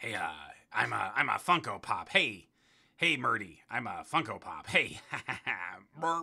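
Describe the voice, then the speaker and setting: Using a put-on character voice at medium pitch, a man talks at a moderate pace with long, frequent pauses. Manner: stammering, cartoonish.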